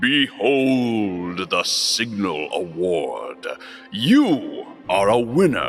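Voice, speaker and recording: A booming put-on character voice goes at a very slow pace over clear music in the background. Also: man. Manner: grand, announcing.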